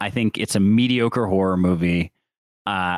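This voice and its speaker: An ordinary speaking voice with an American accent comes through at a fairly slow pace and ordinary pitch variation, on a very clean recording with a silent background and a dry, close sound with no echo. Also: man. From Syracuse, New York. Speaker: podcast co-host. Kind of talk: casual chat.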